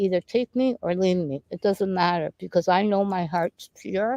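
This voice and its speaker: A woman talks at a moderate pace in a normal speaking voice, at medium pitch with ordinary pitch variation. The sound is dry and close, with no echo. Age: 60s. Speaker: spiritual healer and painter. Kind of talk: casual interview chat. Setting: outdoors in a park.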